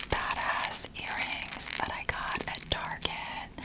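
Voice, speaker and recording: Very slow whispering from a woman. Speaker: ASMR creator. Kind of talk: ASMR shopping haul talk to camera. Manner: whispered. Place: home room. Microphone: studio mic.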